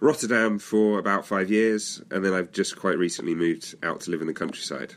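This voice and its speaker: With a British accent, a man talks at a fairly quick pace with ordinary pitch variation in a very clean recording with a silent background. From England. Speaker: author. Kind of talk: interview.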